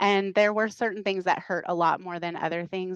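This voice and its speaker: With an American accent, a woman speaks in monotone, flat intonation, the sound dry and close with no echo over a quiet background. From northern US. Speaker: missionary trainer. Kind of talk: podcast interview testimony.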